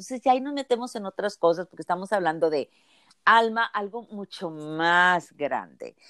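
A woman has an unremarkable speaking voice with medium pitch and lively intonation at a moderate pace. The sound is dry and close, with no echo. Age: 60s. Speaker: physician and healer. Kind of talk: interview.

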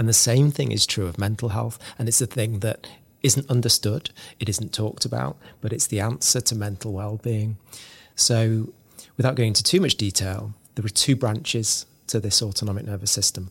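A man speaks at a medium pitch and a moderate pace, with ordinary pitch variation and a somewhat breathy voice. The very clean recording has a silent background and a dry, close sound with no echo. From northern England. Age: 40s. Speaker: author. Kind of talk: interview. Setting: studio.

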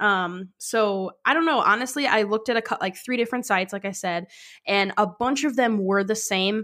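A woman speaks at a moderate pace with an ordinary speaking voice. Her fairly high pitch has ordinary variation. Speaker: podcast host. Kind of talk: casual chat. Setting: remote recording over video call.

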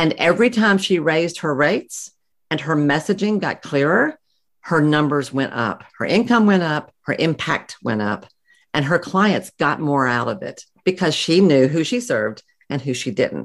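With a Southern US accent, a woman speaks at a moderate pace in a very deep, low voice with very wide pitch swings. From US South. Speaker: psychotherapist and practice coach. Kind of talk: interview.

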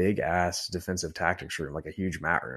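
A man talks at a moderate pace with an American accent. His pitch is very deep and low, over a quiet background. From Texas. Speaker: police academy recruit and Air Force veteran. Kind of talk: casual interview.

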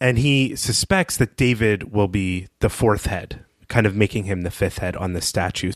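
A man speaks in a normal speaking voice at a fairly low pitch with ordinary pitch variation, keeping a moderate pace with hardly any pauses. The recording is very clean with a silent background and a dry, close sound with no echo. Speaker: podcast host. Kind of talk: casual podcast recap.

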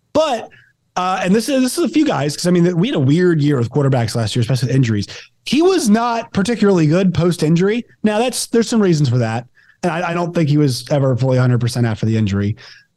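A man speaks at a very fast pace in a high pitch with very wide pitch swings. His tone is dark and mellow. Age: 20s. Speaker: podcast host, sports commentator. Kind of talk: casual chat.

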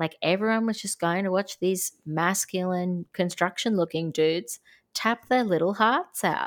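Here a woman speaks at a medium pitch and a moderate pace. Her intonation is fairly even, and the recording is very clean with a silent background. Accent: Australian. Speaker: podcast co-host. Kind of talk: casual chat.

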